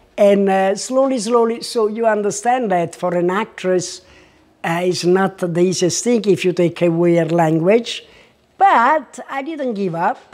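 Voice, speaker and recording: Speaking in a strong Italian accent, a woman has a medium pitch and ordinary pitch variation. Her pace is fairly slow. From Italy. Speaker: artist and former actress. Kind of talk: interview. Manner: halting.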